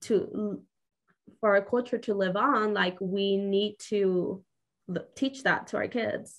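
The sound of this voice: A woman's medium-pitched voice at a slow pace, in a Mexican accent, with fairly even intonation.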